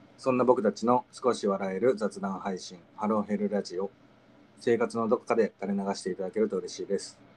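A man uses an ordinary speaking voice, fairly low in pitch with fairly even intonation. His loudness swings widely. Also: fairly quick pace, dry, close sound with no echo. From Okayama, Japan. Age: 20s. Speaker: podcast host. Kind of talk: casual chat podcast. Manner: friendly, chatty, playful.

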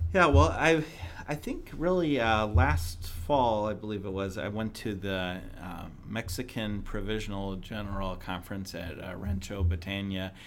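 With an American accent, a man talks fairly slowly in a fairly low pitch, his pitch varying in an ordinary way amid audible room echo. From US Midwest, southern Illinois near St. Louis. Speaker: magazine editor. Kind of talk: interview.

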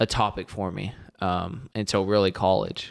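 A man with an American accent and a plain, everyday voice speaks fairly slowly at a fairly low pitch. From Texas. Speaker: football coach. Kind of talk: casual chat.

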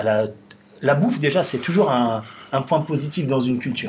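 Fairly high in pitch, a man speaks at a fairly quick pace. His pitch swings very widely. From Paris suburbs, Belleville. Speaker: restaurant owner. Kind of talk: casual interview conversation. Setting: studio, filmed podcast.

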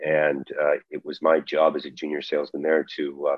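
A man speaks with a Canadian accent. His pace is moderate. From Calgary, Alberta, Canada. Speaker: battery metals consultant. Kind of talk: interview conversation. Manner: halting, many repetitions and fillers.

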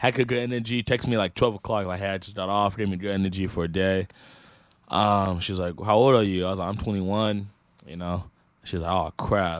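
A man with an American accent speaks in an ordinary speaking voice, fairly low in pitch, with fairly even intonation. His pace is fairly quick, and the recording is very clean with a silent background. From Northern California (Sacramento area). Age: 20s. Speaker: YouTuber. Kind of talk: casual chat.

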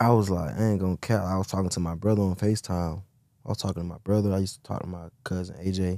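Over a silent background in a very clean recording, a man talks very fast in a very deep, low, dark and mellow voice with monotone, flat intonation. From US South, Atlanta. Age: 20s. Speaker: truck driver. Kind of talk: casual interview.

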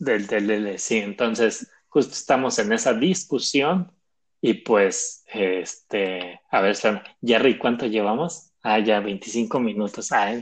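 Very slowly, a man speaks with ordinary pitch variation. Behind him, the background stays quiet. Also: medium pitch for a man. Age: 20s. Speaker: podcast host, bank employee. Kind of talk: casual chat.

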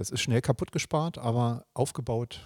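A man speaks at a medium pitch with lively intonation and a dark, mellow, somewhat breathy tone. The recording is very clean, with a silent background and a dry, close sound with no echo. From Germany, Berlin (East). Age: 50s. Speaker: local politician, district administrator candidate. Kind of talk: interview.

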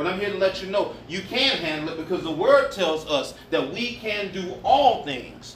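A man with a high pitch speaks at a fairly slow pace, his pitch swinging very widely. Audible room echo and noticeable background noise run through the clip. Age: 50s. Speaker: pastor. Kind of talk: sermon.

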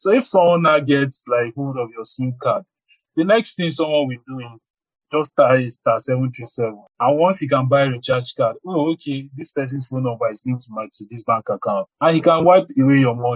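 Somewhat breathy, this man talks at a fairly quick pace with a fairly high pitch and big swings in loudness. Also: ordinary pitch variation. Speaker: data protection professional. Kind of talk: podcast interview.

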